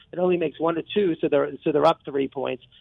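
The man's voice sits at a fairly high pitch. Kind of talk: sports talk radio analysis, breaking down games and playoff series. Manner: animated, fast, rambling, enthusiastic, often restarting sentences.

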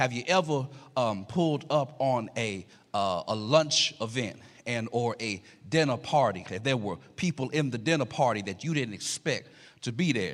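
A man with a medium-pitched voice speaks at a moderate pace, his tone animated and his intonation lively. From Louisiana, Alexandria. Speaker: guest preacher. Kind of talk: sermon. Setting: church.

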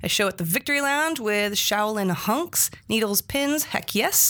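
A woman's fairly high, bright and sharp voice with lively intonation, at a moderate pace. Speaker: podcast host. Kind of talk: casual chat. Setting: studio.

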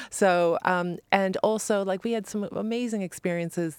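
A woman speaks in a normal speaking voice at a medium pitch, with ordinary pitch variation. The sound is dry and close with no echo, in a very clean recording with a silent background. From born Long Island, New York; raised in Ireland from age twelve. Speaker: fashion stylist and author. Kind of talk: interview. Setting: studio.

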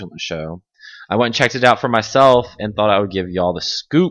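An unremarkable speaking voice from a man, medium in pitch, fairly quick, with ordinary pitch variation against a quiet background. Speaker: podcast host. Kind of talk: casual chat.

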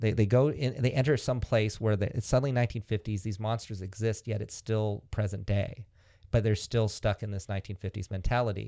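Speaking at a fairly quick pace, the voice has a General American accent and a dark, mellow tone. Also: man, fairly low pitch for a man, quiet background. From Northern California. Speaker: film director. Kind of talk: interview. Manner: animated.

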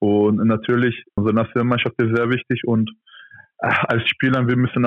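Flat, monotone intonation marks this man's medium-pitched voice as he speaks at a fairly quick pace. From Turkey. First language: Turkish (speaking German). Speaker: professional handball player. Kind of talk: interview. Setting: phone or video call.

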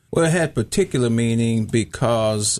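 A man at a medium pitch speaks over music in the background. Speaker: pastor. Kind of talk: radio interview. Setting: studio.

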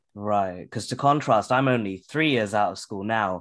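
At a fairly quick pace, a man with a British accent speaks in a fairly low pitch with ordinary pitch variation, on a very clean recording with a silent background. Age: 20s. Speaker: podcast host. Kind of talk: interview.

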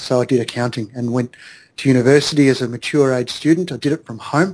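This man has an Australian accent, a medium pitch and fairly even intonation, and he talks at a very fast pace. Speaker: accountant and entrepreneur. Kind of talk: interview.

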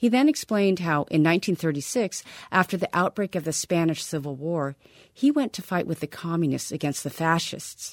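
A woman with an ordinary speaking voice talks at a fairly quick pace, fairly low in pitch, with lively intonation. The sound is dry and close with no echo, on a very clean recording with a silent background. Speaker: radio reporter. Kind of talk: radio news feature narration. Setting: studio.

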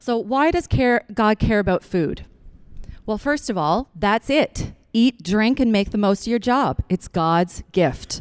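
A woman with a normal speaking voice talks at a fairly slow pace and a fairly high pitch, her intonation lively and her loudness very even, in a dry, close sound with no echo. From Newfoundland, Canada. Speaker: chiropractor and acupuncturist, guest speaker. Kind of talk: church talk to a congregation.

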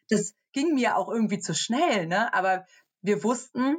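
At a fairly slow pace, a woman with a plain, everyday voice speaks with lively intonation. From Germany, near Cologne. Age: 30s. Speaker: social media influencer. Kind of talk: interview.

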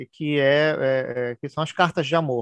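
Against a quiet background with a dry, close sound and no echo, a man speaks in a fairly high voice with fairly even intonation. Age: 40s. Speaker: writer and anthology editor. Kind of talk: casual interview. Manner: halting, many fillers and repetitions.

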